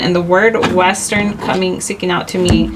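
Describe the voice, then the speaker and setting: The woman's moderate pace carries on through noticeable background noise. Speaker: tarot reader. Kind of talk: tarot reading. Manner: rambling, halting; casual, conversational.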